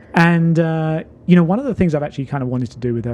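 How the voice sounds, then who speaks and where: A dark, mellow tone with a southern English accent. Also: man. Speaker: talk show host. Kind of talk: casual chat.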